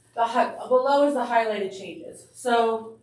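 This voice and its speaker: Audible room echo surrounds a woman's voice. She speaks at a fairly high pitch with ordinary pitch variation. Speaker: school administrator. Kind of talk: board meeting presentation. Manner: fast.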